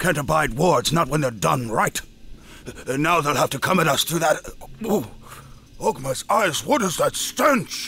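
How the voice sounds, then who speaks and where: A man's put-on character voice at a moderate pace, broken by long, frequent pauses, over clear background noise. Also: fairly high pitch for a man. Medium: video game.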